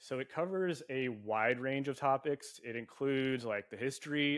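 In an ordinary speaking voice, a man talks at a fairly slow pace with medium pitch and ordinary pitch variation. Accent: American. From US West Coast, San Diego. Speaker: podcast host. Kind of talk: casual chat.

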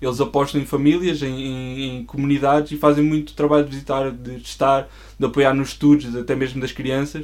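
Speaking at a fairly quick pace with hardly any pauses, a man uses a fairly high voice and flat, monotone intonation. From Portugal, Coimbra. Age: 20s. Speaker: church member and designer. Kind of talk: casual interview chat.

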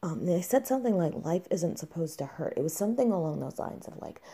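A woman talks in a fairly low voice with vocal fry. Her intonation is lively. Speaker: mother sharing her illness story. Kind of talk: personal testimony.

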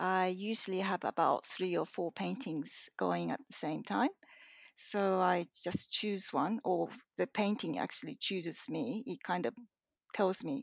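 In a Japanese accent, a woman speaks at medium pitch with vocal fry and lively intonation. Her pace is fairly slow, and the sound is dry and close, with no echo. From Japan, moved to Australia at ten. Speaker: painter. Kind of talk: interview. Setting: remote call from home. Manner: hesitant, many fillers.

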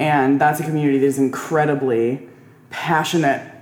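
Noticeable background noise runs under the recording. A woman speaks at a fairly slow pace. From moved around a lot. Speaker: linguistics graduate working in wine. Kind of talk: casual chat.

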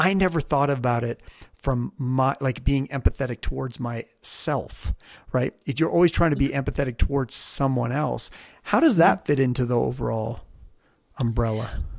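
A man speaks at a moderate pace with a slight Canadian accent. His pitch varies in an ordinary way. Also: medium pitch for a man. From Canada. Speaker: podcast host. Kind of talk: casual interview chat.

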